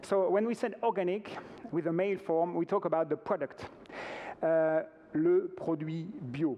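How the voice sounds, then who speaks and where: Pausing long and often, a man with a high pitch and a dark, mellow tone talks at a moderate pace with ordinary pitch variation. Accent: French. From France. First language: French. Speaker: organic retail company representative. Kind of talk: conference presentation. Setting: stage with audience. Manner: halting.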